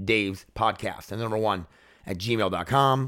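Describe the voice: A raspy, hoarse put-on character voice at a fairly slow pace. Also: man, medium pitch for a man.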